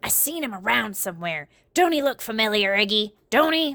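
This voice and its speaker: A put-on, raspy character voice from a woman, fairly high in pitch, raised and projected, at a fairly quick pace, on a very clean recording with a silent background. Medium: read story. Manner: talks out of the side of her mouth, ungrammatical.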